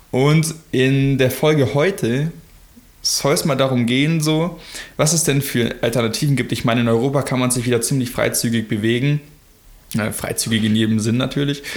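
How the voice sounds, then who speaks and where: Here is a man with a normal speaking voice at a medium pitch and moderate pace. His pitch variation is ordinary and his loudness very even. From Germany. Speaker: podcast co-host. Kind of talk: casual chat.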